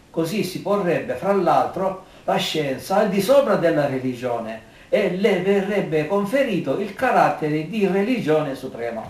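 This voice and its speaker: Audible room echo follows a man speaking at a fairly slow pace. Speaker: amateur commentator. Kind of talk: personal opinion monologue. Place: home room. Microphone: camera far.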